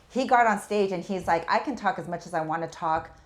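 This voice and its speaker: A woman speaks at a fairly quick pace in an animated tone, her pitch fairly low with ordinary variation. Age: 40s. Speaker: podcast guest, business owner. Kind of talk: casual chat.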